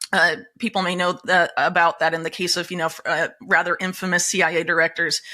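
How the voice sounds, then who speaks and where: A woman with an American accent talks at a fairly quick pace, fairly low in pitch, with fairly even intonation. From United States. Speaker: investigative journalist. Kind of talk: interview. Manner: many fillers and hesitations.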